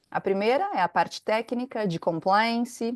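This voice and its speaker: The speaker has a Brazilian accent and lively intonation against a quiet background. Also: woman, dry, close sound with no echo. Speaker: compliance consultant, company founder. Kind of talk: webinar presentation. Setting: online webinar.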